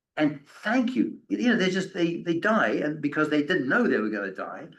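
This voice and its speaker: A man speaks with very wide pitch swings. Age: 70s. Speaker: author and end-of-life speaker. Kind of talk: lecture with audience questions. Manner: halting, many repetitions.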